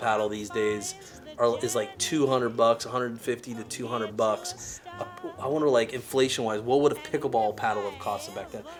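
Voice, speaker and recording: Music runs behind a man whose delivery is fairly quick. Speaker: pickleball shop owner. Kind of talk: casual interview questions.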